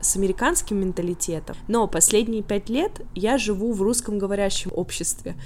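A woman talks at a fairly quick pace in a plain, everyday voice, medium in pitch with ordinary pitch variation. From Russia, Tolyatti. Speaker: YouTuber and immigrant. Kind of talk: interview. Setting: remote call.

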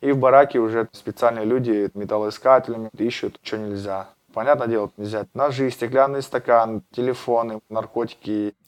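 A plain, everyday voice at a moderate pace, with fairly even intonation and a dry, close sound with no echo. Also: man, medium pitch for a man. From Russia, Astrakhan region. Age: 30s. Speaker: former prisoner, MMA fighter and blogger. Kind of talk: interview, personal story.

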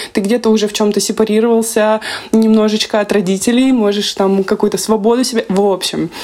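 There is noticeable background noise. Through it comes a woman's voice at a medium pitch. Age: 20s. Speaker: podcast host, psychologist. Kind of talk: casual chat. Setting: video call.

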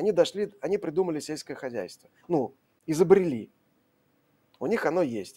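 The voice has a dark, mellow tone and moves at a moderate pace. The recording is very clean, with a silent background. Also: man. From Russia, Saint Petersburg. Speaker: science journalist. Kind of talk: live stream Q&A.

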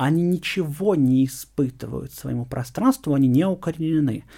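A man talks at a fairly high pitch with ordinary variation. The recording is very clean, with a silent background. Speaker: university lecturer, geographer. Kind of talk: interview. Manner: hesitant, many fillers.

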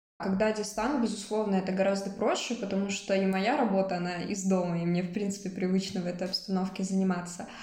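A woman speaks at a very fast pace and medium pitch. Noticeable background noise and audible room echo fill the recording. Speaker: psychology student and freelance social media manager. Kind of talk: interview.

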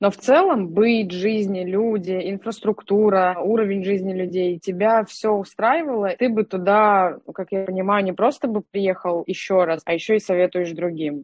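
A woman with an ordinary speaking voice at medium pitch, moderate in pace with hardly any pauses and ordinary pitch variation. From Russia, Nalchik (Kabardino-Balkaria). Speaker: podcast co-host, digital manager. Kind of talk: interview.

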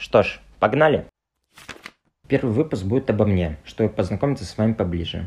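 A man speaks at a moderate pace with a fairly low pitch and lively intonation. He leaves long, frequent pauses. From Russia, Tuva (Kyzyl). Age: 20s. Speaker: podcast host, entrepreneur. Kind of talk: personal monologue podcast.

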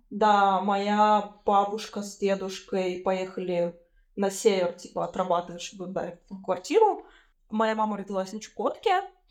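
Over a quiet background, a woman speaks at medium pitch and a fairly slow pace. Her intonation is monotone and flat, but her loudness swings a lot. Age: 20s. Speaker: podcast host. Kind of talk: casual chat.

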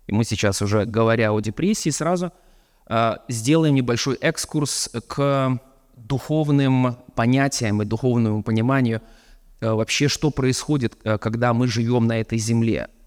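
With an ordinary speaking voice, a man speaks at a fairly slow pace and medium pitch, with ordinary pitch variation and very even loudness, in a dry, close sound with no echo on a very clean recording with a silent background. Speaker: preacher. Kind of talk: sermon.

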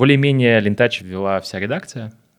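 With an ordinary speaking voice, a man talks at a moderate pace with lively intonation on a very clean recording with a silent background. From Moscow, Russia. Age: 20s. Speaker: agency co-owner and director. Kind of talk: interview. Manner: casual.

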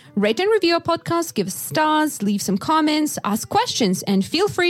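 A woman at a moderate pace with very wide pitch swings, amid noticeable background noise. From Yakutia, Russia. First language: Russian. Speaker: podcast host for English learners. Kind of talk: casual chat.

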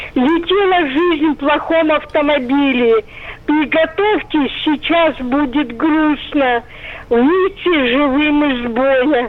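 Over noticeable background noise, a woman speaks very slowly at a high pitch with very even loudness. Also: ordinary pitch variation. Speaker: radio caller. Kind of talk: phone-in reminiscence. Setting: phone call.

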